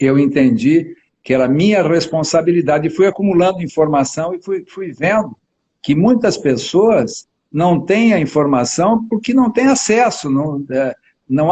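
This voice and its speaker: The man's pitch is high, with lively intonation. He talks at a fairly slow pace. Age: 70s. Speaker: family lawyer hosting a health live stream. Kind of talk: casual chat.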